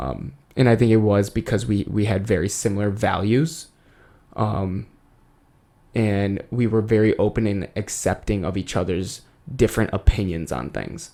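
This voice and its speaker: This man has a fairly low pitch and a dark, mellow tone. The recording is very clean, with a silent background. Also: lively intonation, moderate pace. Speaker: podcast co-host. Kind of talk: casual chat. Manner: loud.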